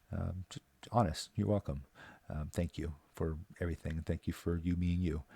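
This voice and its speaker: Speaking with a Newfoundland accent, a man has a very deep, low pitch, a dark, mellow tone, a somewhat breathy quality and fairly even intonation. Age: 40s. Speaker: local resident vlogger. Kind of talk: scripted monologue. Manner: halting.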